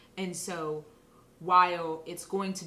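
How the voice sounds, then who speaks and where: Speaking at a fairly slow pace, a woman uses a normal speaking voice at medium pitch with fairly even intonation. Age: 30s. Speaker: interview guest sharing experiences of race. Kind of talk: casual interview conversation. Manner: conversational with frequent fillers.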